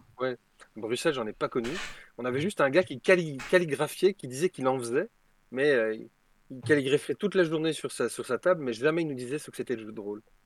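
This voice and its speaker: Speaking at a fairly quick pace but with long, frequent pauses, a man with a medium pitch and ordinary pitch variation is heard in a dry, close sound with no echo on a very clean recording with a silent background. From Belgium. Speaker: tabletop role-playing game designer. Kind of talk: casual chat.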